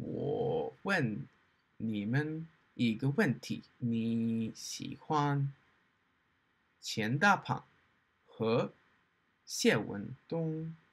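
Somewhat breathy, a man speaks at a very slow pace with lively intonation and long, frequent pauses. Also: fairly high pitch for a man. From Australia. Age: 20s. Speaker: language learner. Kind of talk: casual talk to camera, learner book reviews. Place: home room. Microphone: webcam.

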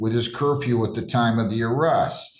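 Audible room echo surrounds a somewhat breathy man speaking with fairly even intonation. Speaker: judge in a court hearing. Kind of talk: courtroom remarks, partly reading a report. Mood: puzzled, skeptical. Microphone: video call.

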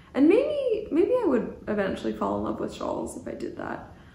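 Audible room echo surrounds a woman with a Canadian accent speaking at a moderate pace. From Canada. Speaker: knitting podcaster. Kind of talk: casual monologue. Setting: cabin by the ocean. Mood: cheerful, relaxed. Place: home room.

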